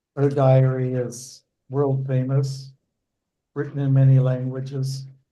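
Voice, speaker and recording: A man with a Dutch accent, dark, mellow and somewhat breathy in tone, monotone and flat in intonation, at a fairly slow pace amid audible room echo. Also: medium pitch for a man. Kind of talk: casual chat before a scripture class.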